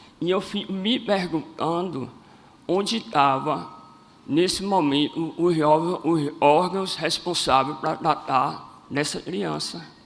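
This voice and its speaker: Over noticeable background noise, a man speaks at a very slow pace. His voice is fairly high, with ordinary pitch variation. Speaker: cleft palate advocate. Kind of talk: public speech.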